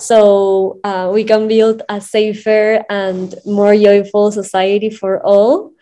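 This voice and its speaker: A woman speaks at medium pitch in a dark, mellow tone, flat and monotone. She goes very slowly yet with hardly any pauses. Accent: Spanish. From Peru, Lima. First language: Spanish. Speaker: sex education entrepreneur. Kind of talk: casual interview. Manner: halting, with fillers.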